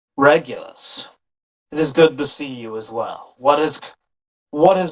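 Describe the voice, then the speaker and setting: The man puts on a character voice, pitched fairly high, and delivers it at a moderate pace. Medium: actual play.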